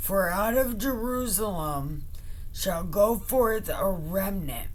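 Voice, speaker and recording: A put-on character voice talks at a very slow pace. Background noise is clearly heard. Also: woman, medium pitch for a woman. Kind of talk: comic Bible reading. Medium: solo performance. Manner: commanding, taunting.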